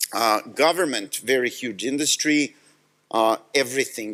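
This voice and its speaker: Here a man with a Serbian accent talks. His pace is fairly slow, with ordinary pitch variation. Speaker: tech company executive. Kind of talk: conference talk.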